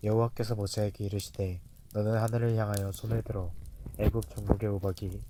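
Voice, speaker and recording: At a fairly quick pace, a man speaks in a fairly low, somewhat breathy voice with a dark, mellow tone and fairly even intonation. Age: 20s. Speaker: scripture narrator. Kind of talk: reading aloud. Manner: measured.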